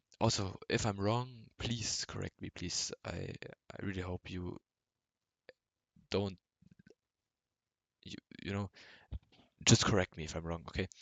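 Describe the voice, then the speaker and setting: In a German accent, the speaker goes at a fairly slow pace with fairly even intonation and long, frequent pauses. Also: man, fairly low pitch for a man. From Germany. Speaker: amateur trader vlogger. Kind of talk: unscripted screen-share tutorial. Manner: halting, many filler words.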